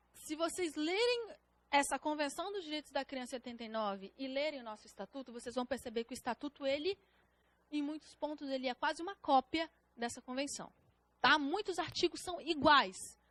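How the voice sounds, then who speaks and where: Her high-pitched voice moves at a moderate pace with lively intonation, and the woman's sound is dry and close with no echo. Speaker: public defender teaching a prep course. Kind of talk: lecture.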